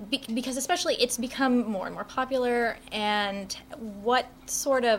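Using an ordinary speaking voice, this woman keeps a moderate pace, and her pitch varies in an ordinary way. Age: 20s. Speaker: graduate student interviewer. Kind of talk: panel interview.

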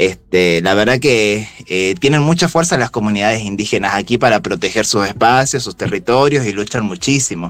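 With hardly any pauses, a man speaks in a normal speaking voice at a fairly low pitch, moving at a moderate pace with lively intonation. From Jujuy, northwest Argentina. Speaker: local guest recommending travel in Jujuy. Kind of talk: casual chat.

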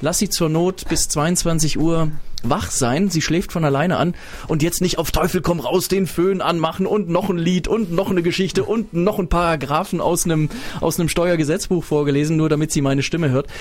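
A man's high-pitched voice at a moderate pace, with fairly even intonation and very even loudness, against noticeable background noise. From Swabia, Stuttgart area (early years in Berlin). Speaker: radio host. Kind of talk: casual chat. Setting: studio.

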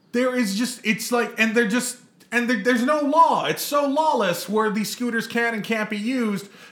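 A man speaks at an extremely high pitch with fairly even intonation and a moderate pace. Noticeable background noise sits behind him. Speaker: podcast co-host. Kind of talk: casual chat. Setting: outdoors.

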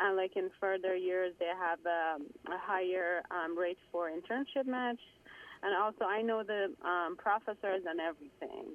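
The speech moves at a moderate pace with very even loudness and ordinary pitch variation. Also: woman, medium pitch for a woman. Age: 30s. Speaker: caller, psychology graduate. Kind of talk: phone-in question. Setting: phone call. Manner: halting, many fillers.

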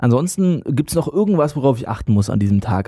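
Lively intonation marks this man's dark, mellow, medium-pitched voice as he talks at a fairly quick pace. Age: young. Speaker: podcast host. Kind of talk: casual interview; scripted intro.

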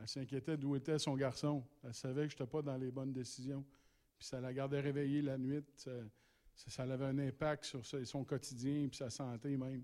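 In a very clean recording with a silent background, a man with a fairly high pitch and a dark, mellow tone speaks at a moderate pace in a monotone, flat intonation. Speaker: ministry representative presenting a rehabilitation program. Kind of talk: church presentation. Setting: church.

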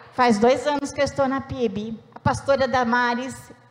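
A high-pitched woman's voice at a fairly slow pace, over noticeable background noise. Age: 60s. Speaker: church member giving testimony. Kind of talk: testimony.

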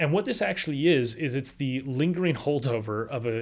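The recording is very clean, with a silent background. A man with a plain, everyday voice and medium pitch speaks with lively intonation. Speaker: political scientist and author. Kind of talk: interview explaining book.

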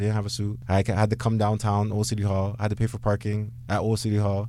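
A man's fairly low voice with a dark, mellow tone, very fast delivery and a Toronto accent. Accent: Toronto Canadian English. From Canada, Brampton near Toronto. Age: 30s. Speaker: lawyer. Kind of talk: radio interview.

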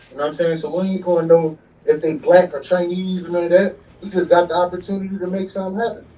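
A man talks at a fairly quick pace in a high pitch. Noticeable background noise runs behind him. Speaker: caller. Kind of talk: phone-in call. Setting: phone call. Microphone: clear line.

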